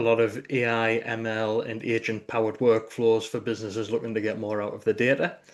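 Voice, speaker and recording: Over a quiet background, a man talks fairly quickly with a northeast English accent in a flat monotone. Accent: northeast English (Geordie-like), noticeable. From northeast England. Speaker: delivery manager in tech consulting. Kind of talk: live online meetup conversation.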